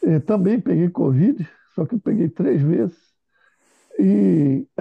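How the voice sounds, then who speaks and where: A man talks fairly slowly, his pitch swinging very widely and dropping into vocal fry. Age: 60s. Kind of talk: casual chat.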